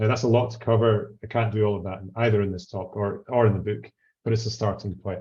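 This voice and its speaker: In a Scottish accent, a man with a fairly low pitch speaks at a very fast pace in a monotone, flat intonation, his tone dark, mellow and somewhat breathy. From Scotland, Highlands. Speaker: legal researcher. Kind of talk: academic talk. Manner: hesitant, frequent fillers.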